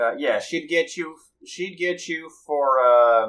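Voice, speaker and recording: A man with a Southern US accent, fairly high in pitch, at a fairly slow pace. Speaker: tabletop role-play player. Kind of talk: tabletop role-play session, casual and in character.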